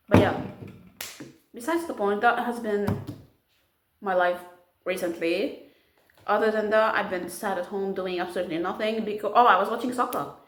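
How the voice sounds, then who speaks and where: Through audible room echo, a woman of medium pitch talks with ordinary pitch variation and long, frequent pauses. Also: moderate pace. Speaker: vlogger. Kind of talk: casual vlog. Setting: at home. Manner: animated.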